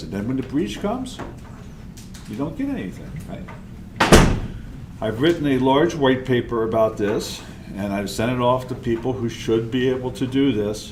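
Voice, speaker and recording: Room echo is audible as a man speaks at a moderate pace. Background noise is noticeable. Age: 70s. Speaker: conference speaker, open source advocate. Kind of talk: conference talk. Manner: animated.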